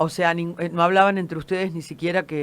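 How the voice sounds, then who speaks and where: A woman with a Rioplatense accent speaks at a very deep, low pitch in a very clean recording with a silent background. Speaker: radio host. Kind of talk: radio interview.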